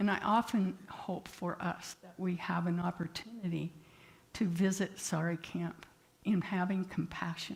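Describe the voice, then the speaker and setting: A woman's fairly low voice at a fairly slow pace, with monotone, flat intonation and big swings in loudness. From rural area. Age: 80s+. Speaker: therapist and guest speaker. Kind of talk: sermon.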